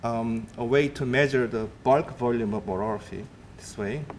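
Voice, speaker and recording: A man speaks with fairly even intonation amid audible room echo. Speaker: atmospheric scientist. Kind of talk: lecture.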